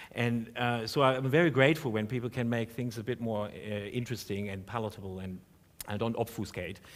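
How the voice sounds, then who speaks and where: Speaking with a German accent, a man keeps a fairly quick pace. His pitch is medium. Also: ordinary pitch variation. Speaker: professor. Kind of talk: panel discussion. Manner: halting.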